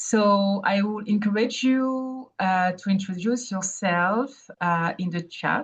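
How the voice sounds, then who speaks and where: With a strong French accent, a woman speaks at a very slow pace, somewhat breathy, with ordinary pitch variation. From Burkina Faso. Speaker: independent evaluator. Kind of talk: webinar presentation. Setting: online webinar. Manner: hesitant, many fillers.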